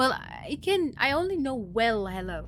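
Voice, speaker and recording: Heard with audible room echo, a woman with a German accent speaks in a bright, sharp tone. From Germany. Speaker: video game streamer. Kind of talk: casual live stream chat. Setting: live stream.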